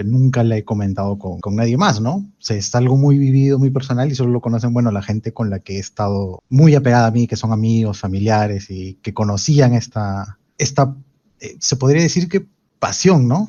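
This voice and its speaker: This male voice sits at a medium pitch. It rises and falls in an ordinary way. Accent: Peruvian. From Peru, Lima. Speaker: podcast guest. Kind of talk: casual chat.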